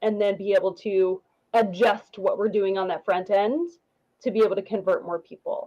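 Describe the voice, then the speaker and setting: A woman speaks at a medium pitch in a dark, mellow tone. Her pitch variation is ordinary. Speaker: business dashboard consultant. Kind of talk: tutorial. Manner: fast; animated.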